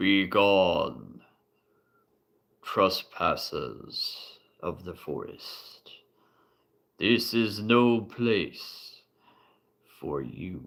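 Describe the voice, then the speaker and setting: A man in a put-on character voice booms with a resonant, fairly low pitch at a very slow pace, leaving long, frequent pauses and making big swings in loudness. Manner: booming, echoing.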